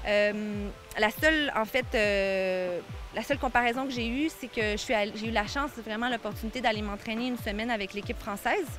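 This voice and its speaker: A woman talks at a moderate pace. Behind her, music can be heard. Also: fairly high pitch for a woman, ordinary pitch variation. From Quebec, Île aux Coudres in Charlevoix. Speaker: kitesurfing athlete. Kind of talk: TV interview. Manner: hesitant, many fillers.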